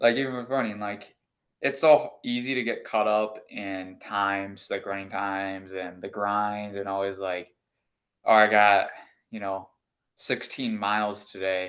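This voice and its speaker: An unremarkable speaking voice at a fairly slow pace, fairly even intonation, a quiet background. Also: man, fairly low pitch for a man. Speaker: interviewee, amateur runner. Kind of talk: casual chat.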